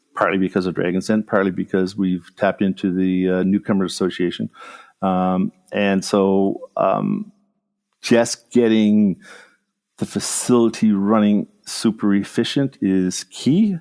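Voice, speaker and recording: In a plain, everyday voice, a man speaks at a fairly low pitch. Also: fairly even intonation, fairly slow pace, dry, close sound with no echo. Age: 60s. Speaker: food company founder and CEO. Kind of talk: interview.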